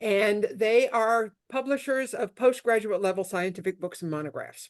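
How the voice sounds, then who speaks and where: Against a quiet background, a woman in an upstate New York accent speaks at a fairly high pitch with lively intonation. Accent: upstate New York twang. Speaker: intellectual property lawyer. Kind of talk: talk to a networking group. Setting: video call.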